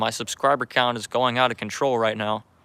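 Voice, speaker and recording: The tone is bright and sharp. Delivery is at a fairly quick pace. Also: man. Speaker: amateur astronomy livestreamer. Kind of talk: casual livestream commentary. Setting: at home with telescope, brother in room. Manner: halting.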